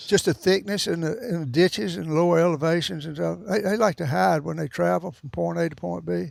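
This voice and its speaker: A man talks with a Southern US accent. He barely pauses at all. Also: fairly quick pace, very clean recording, silent background. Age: 80s+. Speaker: veteran deer hunter. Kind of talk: interview answer. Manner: casual storytelling.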